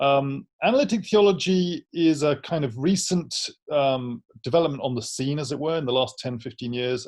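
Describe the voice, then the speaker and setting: A man speaks with an English accent and lively intonation. His pace is moderate. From London, England. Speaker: theology professor. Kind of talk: interview.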